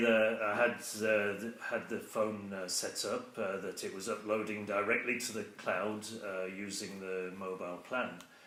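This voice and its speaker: With noticeable background noise, a man with a British accent speaks at a fairly slow pace. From England. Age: 60s. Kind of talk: casual talk to camera. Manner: hesitant, conversational.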